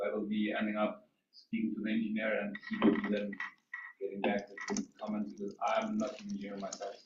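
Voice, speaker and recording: A man speaks with a non-native accent. His pace is very fast. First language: not English. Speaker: property developer. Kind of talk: public hearing presentation. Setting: public meeting. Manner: halting.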